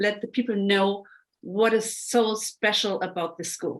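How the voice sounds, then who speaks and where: A woman's very slow speech in a non-native accent, with ordinary pitch variation. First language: not English. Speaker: podcast host and coach. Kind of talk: interview.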